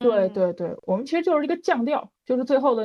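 Using a normal speaking voice, a woman talks at a fairly quick pace. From Northeast China, Changchun. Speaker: bird illustrator. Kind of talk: casual chat.

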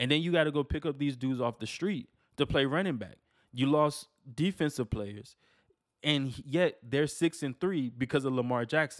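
On a very clean recording with a silent background and a dry, close sound with no echo, a man with a fairly high voice speaks at a moderate pace with ordinary pitch variation. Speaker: sports podcast host. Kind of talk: casual solo sports talk. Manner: stumbles over words.

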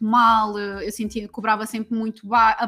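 A woman with a fairly high pitch talks while noticeable background noise carries on around her. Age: 30s. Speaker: women's empowerment coach. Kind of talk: casual chat.

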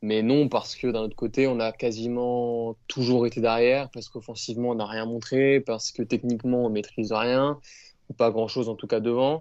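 Over a quiet background, a man talks at a moderate pace in a medium-pitched voice with monotone, flat intonation. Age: young. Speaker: rugby fan podcast co-host. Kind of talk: casual chat.

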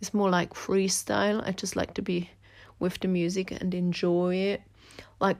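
On a very clean recording with a silent background, a woman with a Swiss German accent speaks at a moderate pace and medium pitch. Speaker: podcaster and dancer. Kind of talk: personal monologue. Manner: casual, with fillers and hesitations.

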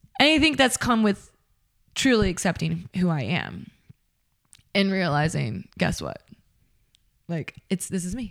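A woman at medium pitch speaks loudly and fairly slowly, her voice dipping into vocal fry, swinging very widely in pitch and broken by long, frequent pauses. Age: 30s. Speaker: podcast host. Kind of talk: solo monologue. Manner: casual.

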